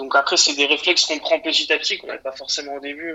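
His intonation stays flat and monotone. The man's fairly high voice moves at a fairly quick pace. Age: 20s. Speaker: recent audiovisual graduate. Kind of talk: phone interview. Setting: phone call. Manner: halting, many repetitions.

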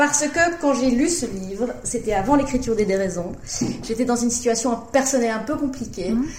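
Noticeable background noise and audible room echo accompany speech at a fairly quick pace with ordinary pitch variation. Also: woman, high pitch for a woman. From Brussels, Belgium. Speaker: novelist. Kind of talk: interview.

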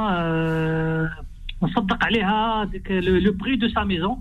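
A man's high voice with ordinary pitch variation and audible room echo. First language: Arabic (speaking French). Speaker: radio phone-in caller. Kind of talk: phone-in question. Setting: phone call.

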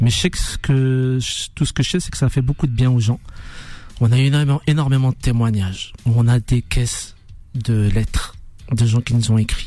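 A man at a fairly slow pace, with music playing in the background. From France, Dijon suburbs (Chenôve). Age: 40s. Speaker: musician. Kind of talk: radio interview. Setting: radio studio.

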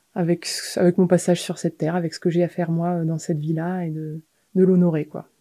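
A woman speaks in a flat monotone at a fairly low pitch. Her tone is dark and mellow. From eastern France and the French Alps. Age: 30s. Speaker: mountain guide and sailor. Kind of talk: interview. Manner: hesitant, many fillers.

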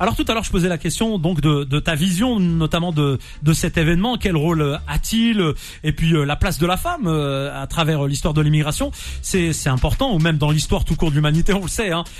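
The loudness stays very even and the pitch varies in an ordinary way. The pace is fairly quick. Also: man, fairly high pitch for a man. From France, Nantes, of Algerian descent. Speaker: radio host. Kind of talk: radio interview. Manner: animated.

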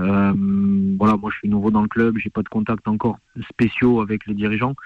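A man at a fairly low pitch and a moderate pace. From France. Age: 30s. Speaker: assistant football coach. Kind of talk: radio interview.

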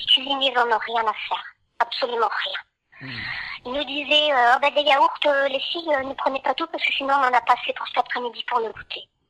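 The voice is raised and projected, at a moderate pace. Its intonation stays fairly even. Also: woman, high pitch for a woman. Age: 50s. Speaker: former care home worker. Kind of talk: testimony. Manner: hesitant, with many fillers.

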